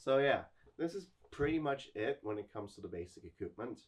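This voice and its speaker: Somewhat breathy, a man with a non-native accent talks at a fairly quick pace. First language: not English. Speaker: military reenactor / YouTuber. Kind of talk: casual video tutorial.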